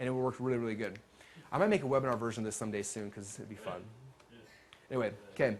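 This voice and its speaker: At a medium pitch, a man speaks very fast. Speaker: webinar marketing trainer. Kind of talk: live seminar talk.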